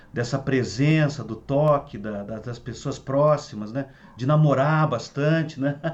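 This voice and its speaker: Fairly high-pitched male speech, fairly slow and fairly even in intonation, amid noticeable background noise. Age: 60s. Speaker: Ayurveda therapist and teacher. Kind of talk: online talk to students. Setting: video call. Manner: halting with repetitions.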